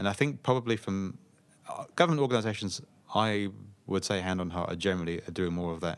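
Very fast speech from a man, fairly low in pitch, with ordinary pitch variation. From southeast England (Slough). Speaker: public sector communications director, former journalist. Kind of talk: casual interview.

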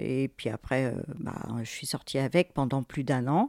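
On a very clean recording with a silent background, a woman speaks very slowly in a dark, mellow tone. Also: dry, close sound with no echo. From France, Fontainebleau. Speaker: birth mother searching for her son. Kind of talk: personal testimony.

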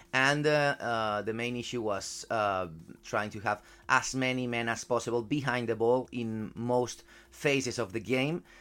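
At a fairly slow pace, a man with a Spanish accent speaks at medium pitch with fairly even intonation on a very clean recording with a silent background. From Spain. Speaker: football journalist. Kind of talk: casual chat. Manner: halting.

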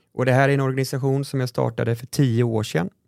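A man with a normal speaking voice, medium pitch, and fairly even intonation. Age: 30s. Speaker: podcast host, nonprofit founder. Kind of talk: casual chat.

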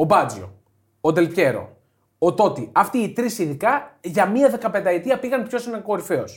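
High-pitched male speech with lively intonation and big swings in loudness, at a moderate pace, on a very clean recording with a silent background. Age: 30s. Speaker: football podcast co-host. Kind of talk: casual chat.

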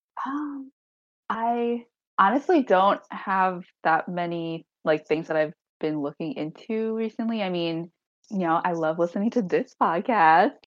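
A plain, everyday voice: a woman with an American accent, medium pitch, and lively intonation. She speaks at a fairly slow pace against a quiet background. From US Northeast, Long Island, New York. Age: 20s. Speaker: graduate student, adoptee. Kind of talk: casual interview.

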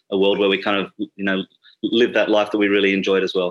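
Speaking at a very fast pace, the voice has an Australian accent. Its intonation is flat and monotone. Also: man. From Sydney, Australia. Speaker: bartender and drinks writer.

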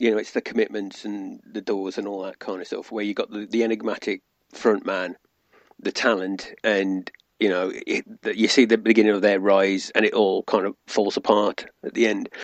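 A man speaks at a moderate pace. The sound is dry and close with no echo, over a quiet background. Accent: British. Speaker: podcast guest. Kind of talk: casual chat.

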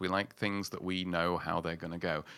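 A man with a Yorkshire accent speaks at a fairly quick pace in a very deep, low voice with a bright, sharp tone and fairly even intonation. The recording is very clean, with a silent background. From northern England, Yorkshire mining town. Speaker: writer and podcaster. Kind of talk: casual interview chat.

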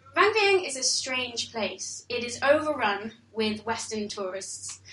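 There is audible room echo and noticeable background noise. A woman talks with a high pitch and lively intonation. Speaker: storyteller. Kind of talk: storytelling performance. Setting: stage with audience.

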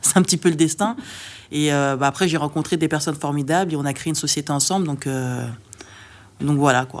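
Moderate pace and ordinary pitch variation. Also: woman, very deep, low pitch for a woman. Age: 30s. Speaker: web developer and entrepreneur. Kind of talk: interview. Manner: hesitant, many fillers.

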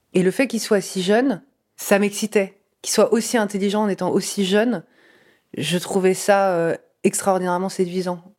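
A woman speaks at a medium pitch and a moderate pace, with fairly even intonation. Her long pauses come often, and the recording is very clean with a silent background. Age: 30s. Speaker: interviewee sharing a personal story. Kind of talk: testimony.

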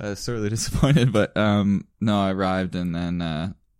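A man in a Canadian Maritime accent at a fairly low pitch, in a very clean recording with a silent background. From Prince Edward Island, Canada. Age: 20s. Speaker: podcast co-host. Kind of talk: casual chat.

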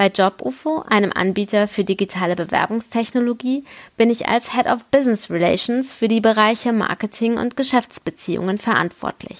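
This woman has a normal speaking voice, fairly high in pitch with ordinary pitch variation, talking at a moderate pace in a dry, close sound with no echo. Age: 30s. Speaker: HR professional. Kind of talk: recorded statement.

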